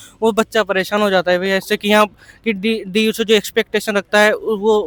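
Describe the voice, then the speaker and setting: A man with a high pitch talks in a monotone, flat way, and the sound is dry and close with no echo. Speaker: university student. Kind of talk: street interview. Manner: halting.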